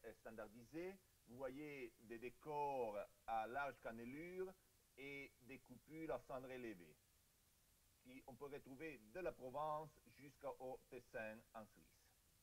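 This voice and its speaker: A man at a very slow pace, with a fairly high pitch and ordinary pitch variation. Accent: Italian. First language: Italian (speaking French). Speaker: archaeologist. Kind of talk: conference talk. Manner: halting.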